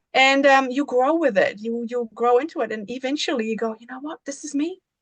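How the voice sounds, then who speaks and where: A woman with a German accent talks at a fairly quick pace in a high pitch, with ordinary pitch variation and big swings in loudness. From Germany, rural village. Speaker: embodiment coach. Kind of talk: podcast interview.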